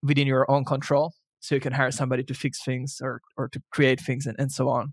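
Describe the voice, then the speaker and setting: A man with a fairly high pitch talks at a moderate pace, in a dry, close sound with no echo. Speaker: podcast co-host, SEO blogger. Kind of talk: casual chat. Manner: loud; halting, many repeated words.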